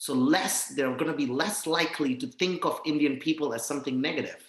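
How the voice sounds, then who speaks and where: This man has a normal speaking voice, fairly high in pitch. He moves at a fairly quick pace. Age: 30s. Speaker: Spanish teacher and non-profit founder. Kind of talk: casual interview chat.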